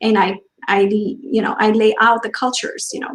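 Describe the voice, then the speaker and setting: Speaking with a non-native accent is a woman. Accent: noticeable foreign. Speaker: diversity trainer. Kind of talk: panel discussion.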